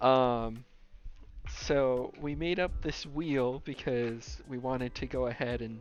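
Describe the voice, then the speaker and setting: Music plays in the background as a man talks very slowly at a medium pitch, his intonation fairly even. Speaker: gaming YouTuber. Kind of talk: casual talk to camera.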